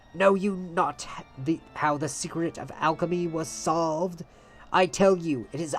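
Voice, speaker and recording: A put-on character voice at a middle pitch delivers its lines in a dramatic, theatrical tone. Faint music plays in the background. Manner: dramatic, vengeful, theatrical.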